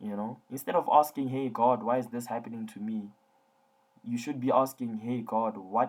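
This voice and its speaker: A man's calm, fairly quick delivery at a medium pitch with fairly even intonation. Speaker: tutoring company founder giving advice to students. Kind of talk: online lecture-style talk to students. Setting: online class, audience listening remotely. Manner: low-key, calm tone.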